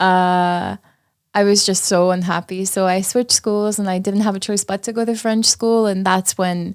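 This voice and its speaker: Recorded very cleanly on a silent background, dry and close with no echo, a woman at medium pitch speaks at a moderate pace with an Armenian accent and monotone, flat intonation. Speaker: paramedical tattoo artist. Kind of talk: casual chat.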